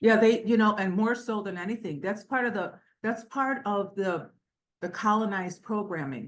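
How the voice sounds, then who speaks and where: A woman talks at a moderate pace in a fairly high pitch, using ordinary pitch variation. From Cleveland, Ohio. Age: 60s. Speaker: business owner and author. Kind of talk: interview. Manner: code-switches between English and Spanish.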